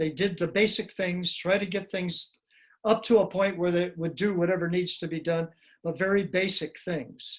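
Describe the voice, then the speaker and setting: The delivery is at a moderate pace with fairly even intonation and an American accent. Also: man, high pitch for a man. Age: 70s. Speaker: retired Air Force officer. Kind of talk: interview. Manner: conversational.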